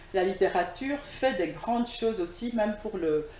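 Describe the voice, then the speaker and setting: With lively intonation, a woman speaks at a fairly slow pace amid audible room echo and noticeable background noise. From DR Congo, Kinshasa. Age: 60s. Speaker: writer and poet. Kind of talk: TV interview. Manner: hesitant, many fillers.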